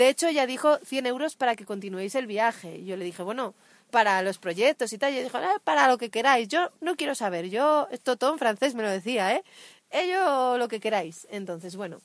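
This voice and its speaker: A woman with a fairly high voice speaks at a moderate pace, with very wide pitch swings and big swings in loudness. The sound is dry and close with no echo, over a quiet background. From Asturias, northern Spain. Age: 30s. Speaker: cycle tourist podcast co-host. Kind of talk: casual chat. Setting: outdoors.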